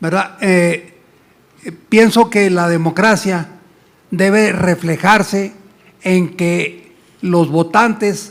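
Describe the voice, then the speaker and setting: Speaking at a very slow pace, the man has a high pitch and ordinary pitch variation. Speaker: audience member asking a question. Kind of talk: audience question. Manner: halting.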